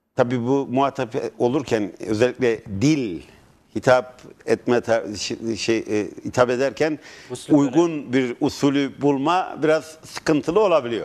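The pitch variation is ordinary. The pace is fairly slow. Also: man. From Turkey, Merzifon; Turkey. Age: 50s. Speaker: mayoral candidate; candidate. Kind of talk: TV interview. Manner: halting. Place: studio. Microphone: lapel.

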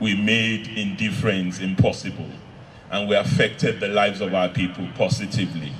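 A man speaks at a moderate pace with a fairly low pitch. Light background noise sits under his voice. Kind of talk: eulogy speech. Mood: solemn, emotional tribute. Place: tent. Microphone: handheld.

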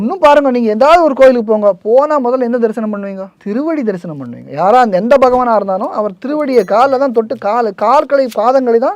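This man's voice sits at an extremely high pitch. His pitch varies in an ordinary way. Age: 50s. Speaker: temple rights activist. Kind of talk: interview.

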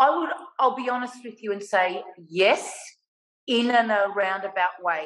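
At a moderate pace and in an animated tone, a woman with an Australian accent speaks with long, frequent pauses against a quiet background. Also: ordinary pitch variation. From Australia (Melbourne). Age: 50s. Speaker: artist; guest. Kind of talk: casual interview. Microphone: video call.

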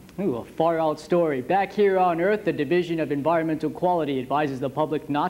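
A man speaking at a moderate pace, with ordinary pitch variation. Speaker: news anchor. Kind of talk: formal newsreading, polished TV anchor delivery with puns. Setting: studio. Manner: formal; smooth, scripted, steady broadcast pace. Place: studio. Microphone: lapel.

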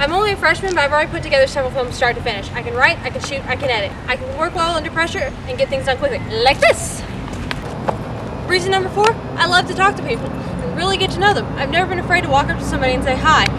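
A woman speaks very fast amid loud background noise. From Knoxville, Tennessee. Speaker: spokesperson applicant. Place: street.

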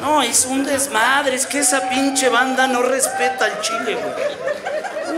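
A man talks in a raised, projected voice over light background noise. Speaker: stand-up comedian. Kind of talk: stand-up comedy routine, crowd work. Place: stage. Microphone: handheld.

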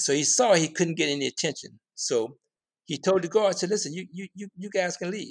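A man speaks in a plain, everyday voice at a fairly quick pace with lively intonation. The recording is very clean, with a silent background. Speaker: filmmaker. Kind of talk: interview.

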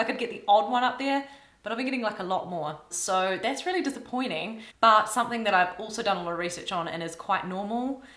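There is audible room echo around a woman whose bright, sharp tone carries ordinary pitch variation. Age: 30s. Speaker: YouTuber and classical violinist. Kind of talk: casual vlog talk to camera.

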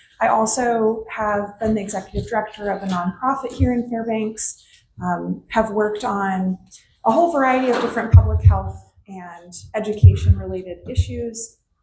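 A woman at a moderate pace with big swings in loudness. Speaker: state legislator. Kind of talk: town hall remarks. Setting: public meeting with audience, microphone. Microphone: hard to hear, too far from mic.

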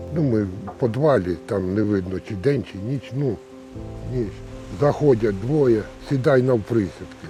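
A man with fairly low pitch and lively intonation, at a fairly slow pace with long, frequent pauses, music in the background. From Zaporizhzhia region, Ukraine. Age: 70s. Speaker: survivor of detention under occupation. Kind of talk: interview answer.

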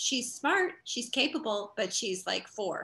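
With very wide pitch swings, a woman speaks in a bright, sharp tone. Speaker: interview guest. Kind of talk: interview answer. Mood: warm, upbeat. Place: home room. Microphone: video call.

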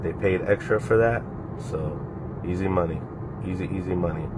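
Over noticeable background noise, a man with a very deep, low voice speaks at a moderate pace in a fairly even intonation. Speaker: car rental host. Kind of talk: casual vlog chat. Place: car. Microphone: phone near.

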